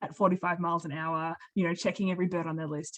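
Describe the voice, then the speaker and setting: The sound is close and dry, without any echo. A woman talks in an Australian accent. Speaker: occupational therapist and birding accessibility advocate. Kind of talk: webinar talk and Q&A.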